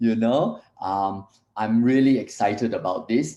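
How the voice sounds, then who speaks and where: A man's medium-pitched voice with a dark, mellow tone at a very slow pace. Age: 60s. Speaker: wellness product presenter. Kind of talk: live stream presentation. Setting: live stream. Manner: hesitant, many fillers.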